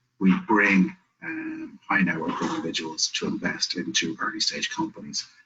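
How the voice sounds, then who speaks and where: In an Irish accent, a man speaks at a moderate pace. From Ireland. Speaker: business network director and investor. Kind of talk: webinar presentation.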